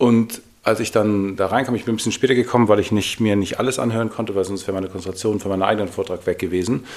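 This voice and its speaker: Hardly pausing at all, a man talks at a very fast pace with a fairly low pitch and fairly even intonation. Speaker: podcast co-host, fitness trainer. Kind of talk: casual chat.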